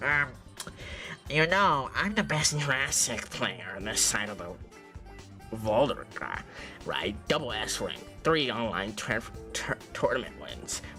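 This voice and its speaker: Clear music plays behind a man in a put-on character voice. He speaks at medium pitch and a fairly slow pace. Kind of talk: geeky, earnest. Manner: nerdy, self-important, stuttering.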